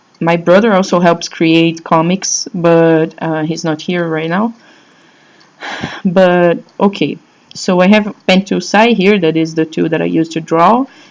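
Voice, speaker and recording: In a Brazilian Portuguese accent, a woman talks at a fairly slow pace in a fairly low voice with fairly even intonation. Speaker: blogger answering fan questions. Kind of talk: casual vlog talk. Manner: halting, many fillers and restarts.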